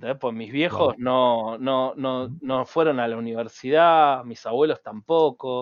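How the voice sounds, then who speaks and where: A man at medium pitch talks very slowly with hardly any pauses. His intonation stays fairly even. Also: big swings in loudness. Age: 40s. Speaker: cybersecurity entrepreneur. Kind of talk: interview.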